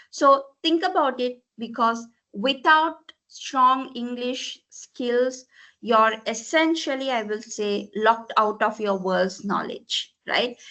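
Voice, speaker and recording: Speaking very slowly with a Tamil accent, a woman uses a high pitch and ordinary pitch variation. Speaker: corporate language trainer. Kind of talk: presentation. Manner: frequent fillers, mixes Sinhala and English.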